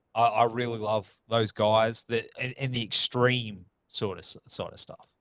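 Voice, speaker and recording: A man speaks at a fairly slow pace with an Australian accent. His pitch is medium, and the sound is dry and close with no echo. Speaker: podcast host. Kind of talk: casual chat.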